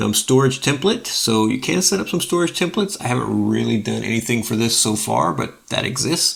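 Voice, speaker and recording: A man talks at a fairly quick pace. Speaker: open source software youtuber. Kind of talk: tutorial. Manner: fast; casual, filler-heavy.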